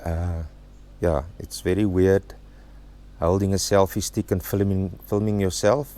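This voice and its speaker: Speaking with an Afrikaans South African accent, a man has a very deep, low voice and fairly even intonation. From South Africa, Free State. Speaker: travel vlogger. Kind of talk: casual vlog talk to camera. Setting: outdoors at a campsite, under a tent. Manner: halting, with fillers.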